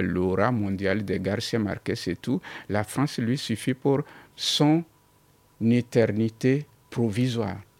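A man with a non-native accent at a very slow pace, dry and close with no echo. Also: very clean recording, silent background. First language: not French (speaking French). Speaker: writer. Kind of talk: radio interview.

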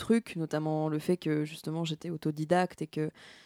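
A woman's dark, mellow tone comes across with a dry, close sound and no echo. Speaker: singer-songwriter. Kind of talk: interview. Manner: halting, many hesitations.

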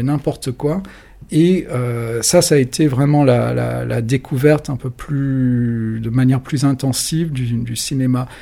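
Here a man talks at a medium pitch. His pitch varies in an ordinary way. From France, adolescence in London. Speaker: magazine journalist and editor. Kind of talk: casual interview. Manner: hesitant, many fillers.

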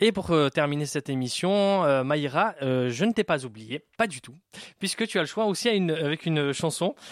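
An ordinary speaking voice at a moderate pace with lively intonation. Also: man. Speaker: radio host. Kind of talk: radio show hosting. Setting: studio.

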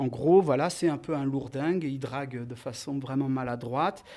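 A man talks at a fairly slow speed. The recording is very clean, and the background is silent. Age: 40s. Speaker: filmmaker. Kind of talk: interview.

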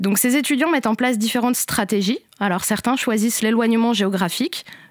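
The voice is an ordinary speaking voice, with ordinary pitch variation. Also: woman. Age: 30s. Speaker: education researcher. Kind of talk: interview explanation. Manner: formal.

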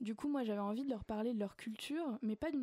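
Speaking at a fairly quick pace, a woman with a fairly high pitch and ordinary pitch variation comes through in a dry, close sound with no echo. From grew up abroad, various countries. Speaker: children's author. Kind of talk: radio interview. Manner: halting, many repetitions and hesitations.

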